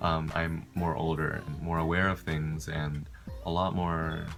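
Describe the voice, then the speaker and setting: Over music in the background and audible room echo, a man speaks at a very deep, low pitch in a monotone, flat intonation. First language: not English. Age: young. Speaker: college student vlogger. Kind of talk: casual vlog. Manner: casual, filler-heavy.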